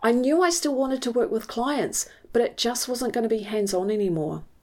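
A woman's fairly high pitch and dark, mellow tone with a New Zealand accent, at a fairly quick pace. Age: 50s. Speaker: mindset coach. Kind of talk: personal monologue.

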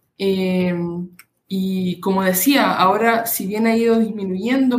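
Fairly even intonation in a woman's somewhat breathy voice. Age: 20s. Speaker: doctoral student in political science. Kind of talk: interview.

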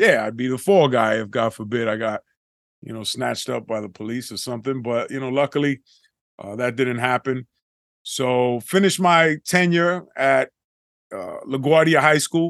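In a New York accent, a man talks at a moderate pace with a medium pitch and ordinary pitch variation, his loudness swinging widely. The sound is dry and close with no echo, over a quiet background. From Bronx, New York. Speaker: entrepreneur and medical sales president. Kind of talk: casual podcast interview.

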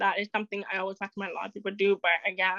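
A woman at medium pitch speaks very fast with little pitch movement, her bright, sharp tone heard in a dry, close sound with no echo.

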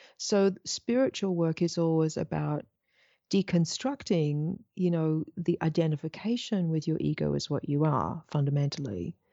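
This woman speaks with a slight English accent in a very deep, low pitch. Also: ordinary pitch variation, moderate pace. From Australia. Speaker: spiritual teacher. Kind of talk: interview. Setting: video call.

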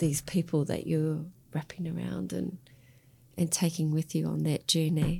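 Keeping a medium tempo, a woman talks in an Australian accent. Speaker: podcast host. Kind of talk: podcast interview.

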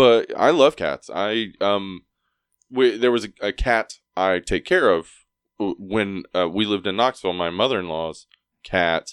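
Against a quiet background, a man with an ordinary speaking voice talks at a fairly low pitch and a fairly slow pace, the sound dry and close with no echo. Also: ordinary pitch variation. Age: 40s. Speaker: horror movie podcaster. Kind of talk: casual chat.

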